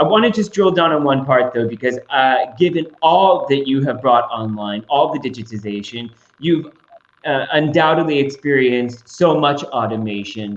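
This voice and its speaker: In an ordinary speaking voice, a man with an American accent talks at a moderate pace, with a fairly high pitch and lively intonation. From United States. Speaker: moderator. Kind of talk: panel discussion.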